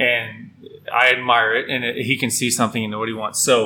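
An unremarkable speaking voice from a man with an American accent, medium pitch and a fairly quick pace. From Midland, West Texas. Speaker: brewery co-owner. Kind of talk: casual interview. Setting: in a brewery.

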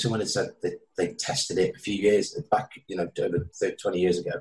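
A man speaks at a moderate pace with a Welsh accent, his voice somewhat breathy. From Wales. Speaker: author and addiction counselor. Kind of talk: interview about recovery from addiction.

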